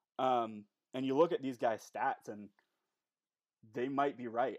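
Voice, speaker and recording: The speaker has a Canadian accent and fairly even intonation at a moderate pace. The background is quiet. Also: man. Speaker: sports podcast co-host. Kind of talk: casual chat.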